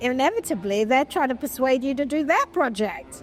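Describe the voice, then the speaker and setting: A woman speaks in a British accent with a high pitch and lively intonation at a moderate pace. Music plays in the background. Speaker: film producer. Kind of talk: interview answer.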